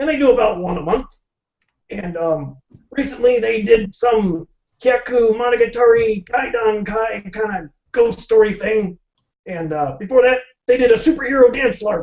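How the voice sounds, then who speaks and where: At a moderate pace, the speaker uses a put-on character voice with a fairly high pitch. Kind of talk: talk show guest interview answer.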